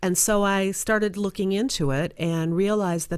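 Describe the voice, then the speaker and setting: A woman speaks at a fairly quick pace. The recording is very clean, and the background is silent. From Chicago suburbs, Illinois. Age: 60s. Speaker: career coach and non-profit founder. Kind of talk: interview. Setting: studio.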